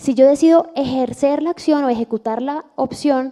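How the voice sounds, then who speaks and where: A woman speaks with a dark, mellow tone. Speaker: audiovisual copyright lawyer. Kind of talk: lecture.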